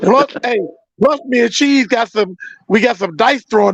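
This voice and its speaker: A man with lively intonation, in a dry, close sound with no echo. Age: 50s. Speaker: sports talk show host. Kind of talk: casual chat. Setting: live stream from cell phone.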